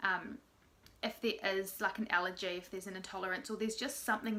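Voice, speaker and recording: This woman's pitch varies in an ordinary way. Her voice sits at a medium pitch. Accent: Australian. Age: 20s. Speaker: mother of three. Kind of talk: casual vlog talk to camera.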